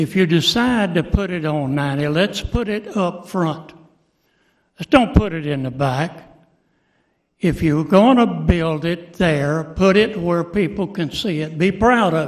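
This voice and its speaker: This man has a high pitch and speaks with an American accent. His pace is fairly slow. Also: ordinary pitch variation. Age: 80s+. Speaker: public commenter. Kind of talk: public comment at meeting. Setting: county commission meeting room.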